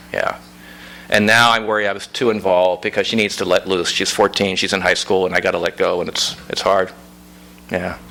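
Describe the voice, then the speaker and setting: A man talks with a slight Pittsburgh accent. His pitch is fairly low and his intonation fairly even. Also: fairly quick pace. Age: 60s. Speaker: author. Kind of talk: audience Q&A at book reading. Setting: bookstore event with audience.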